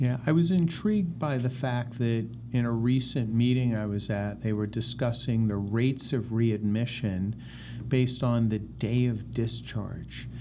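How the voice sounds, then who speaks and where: A man speaks at a fairly slow pace with a dark, mellow tone. His intonation stays fairly even, and the room echo is audible. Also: medium pitch for a man. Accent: American. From US Northeast, New York City. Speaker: physician and research institute medical director. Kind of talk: interview.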